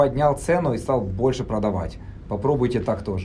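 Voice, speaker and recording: There is audible room echo around a man's voice. He speaks at a moderate pace with ordinary pitch variation. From Germany (emigrated from Kharkiv at 12). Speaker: Amazon seller, entrepreneur. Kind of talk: casual interview.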